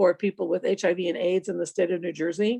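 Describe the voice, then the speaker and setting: A woman with a New York accent and a dark, mellow tone talks at a fairly quick pace, the sound dry and close with no echo. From New York City (Washington Heights). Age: 60s. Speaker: psychiatric nurse practitioner. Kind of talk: interview. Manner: casual, filler-heavy.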